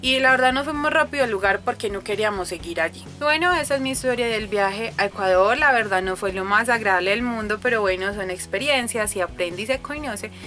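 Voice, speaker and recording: A woman with a Colombian accent speaks at a fairly high pitch and a fairly quick pace, with hardly any pauses. Her intonation is lively, and there is noticeable background noise. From Colombia, Antioquia (paisa). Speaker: vlogger. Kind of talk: casual storytelling vlog. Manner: chatty.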